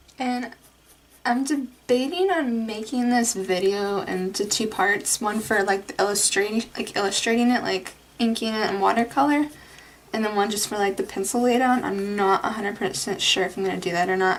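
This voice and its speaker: Soft-spoken delivery at a moderate pace, ordinary pitch variation, and noticeable background noise. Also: woman, fairly high pitch for a woman. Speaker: art youtuber. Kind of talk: drawing tutorial. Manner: casual, rambling with fillers.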